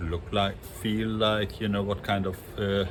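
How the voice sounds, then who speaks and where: A man with a non-native accent, fairly low-pitched, at a very slow pace. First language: not English. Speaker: industrial and yacht designer, design educator. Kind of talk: casual monologue on design. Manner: halting, many fillers.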